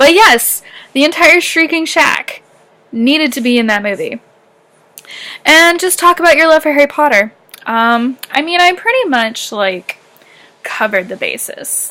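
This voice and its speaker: A woman with a high pitch and a bright, sharp tone speaks at a moderate pace in a raised, projected voice. Her pitch swings very widely. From Canada, southern Ontario near Michigan. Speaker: YouTuber. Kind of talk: casual vlog chat. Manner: animated.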